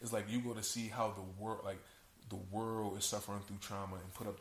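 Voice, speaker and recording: Audible room echo surrounds a man with a fairly low pitch. He talks at a moderate pace in a monotone, flat intonation. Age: 20s. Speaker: podcast guest. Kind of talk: casual chat.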